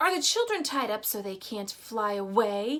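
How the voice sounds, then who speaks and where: A woman uses a put-on character voice at a fairly high pitch. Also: moderate pace. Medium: read story. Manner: barking orders.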